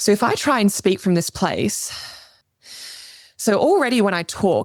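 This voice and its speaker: A female-sounding, put-on character voice, medium in pitch and strained, delivered at a moderate pace. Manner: less controlled, demonstrating poor breath support.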